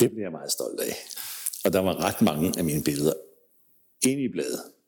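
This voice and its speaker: The man's voice has a dark, mellow tone in a very clean recording with a silent background. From Denmark, Kongens Lyngby. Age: 60s. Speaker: music photographer. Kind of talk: interview storytelling.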